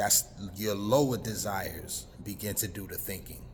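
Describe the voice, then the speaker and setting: With audible room echo, a man talks at a fairly slow pace in a fairly low pitch, his intonation fairly even. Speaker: spiritual talk show host. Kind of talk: monologue on health and spirituality. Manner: slow, deliberate.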